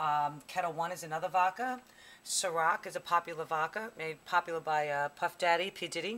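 A woman with a fairly low pitch and a bright, sharp tone talks at a fairly quick pace with ordinary pitch variation. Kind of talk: tutorial. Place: bar. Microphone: camera far.

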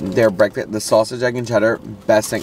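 A man speaks at a fairly low pitch. The sound is dry with no echo, and there is noticeable background noise. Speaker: co-host. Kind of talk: casual vlog chat. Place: car. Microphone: phone near.

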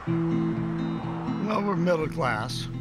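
A man speaks with an American accent over loud background music. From Ohio, USA. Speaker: retired teacher and Army Reserve commander. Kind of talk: political ad, voter testimonial to camera. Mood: calm, critical of candidate. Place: home room.

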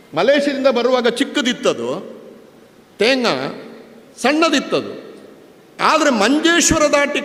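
Against noticeable background noise, a man speaks at an extremely high pitch with ordinary pitch variation. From coastal Karnataka, Panja near Puttur. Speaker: public speaker, scholar. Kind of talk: public speech.

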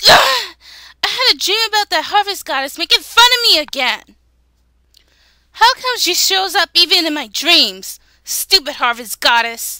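Using a put-on character voice, a woman speaks at an extremely high pitch in a raised, projected voice. Her pace is moderate, broken by long, frequent pauses. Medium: dub.

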